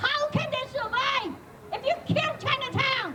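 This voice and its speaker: Very wide pitch swings over noticeable background noise, with audible room echo. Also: woman. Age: 80s+. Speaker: senior community advocate. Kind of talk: rally speech. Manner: loud.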